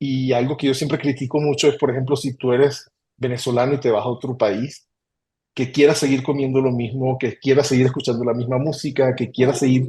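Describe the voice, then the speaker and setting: Speaking at a fairly quick pace, a man has a dark, mellow, somewhat breathy voice and a flat, monotone delivery. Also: medium pitch for a man. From Venezuela, Caracas. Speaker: human resources executive. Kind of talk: interview. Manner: hesitant with fillers.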